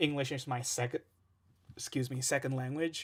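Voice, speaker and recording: A man talks in an Indonesian accent at a medium pitch, his intonation monotone and flat. The recording is very clean, with a silent background. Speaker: music producer and streamer. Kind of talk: casual live stream chat. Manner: hesitant, many fillers.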